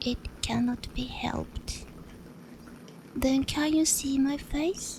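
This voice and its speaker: Someone whispers at a very slow pace, soft-spoken with a gentle tone. Background noise is noticeable. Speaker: sleep-story reader. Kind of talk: whispered bedtime story reading. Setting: ASMR close-mic recording. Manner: whispered, soft, gentle.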